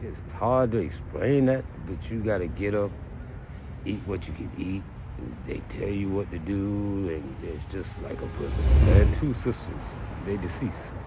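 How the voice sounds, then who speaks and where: A man speaks at a fairly slow pace with a fairly low pitch and lively intonation. Audible room echo and music in the background accompany him. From US South, Myrtle Beach, South Carolina. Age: 60s. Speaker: street interviewee. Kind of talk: street interview.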